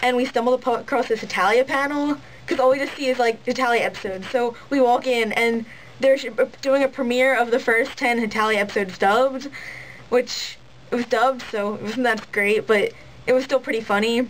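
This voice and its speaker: At a fairly quick pace, a woman speaks in a high voice. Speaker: cosplayer. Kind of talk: casual vlog talk to camera. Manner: ranty, fast.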